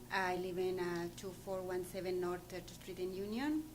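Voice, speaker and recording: A woman speaks in a room with audible echo. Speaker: school cafeteria worker. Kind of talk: public comment at board meeting. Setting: school board meeting. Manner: halting.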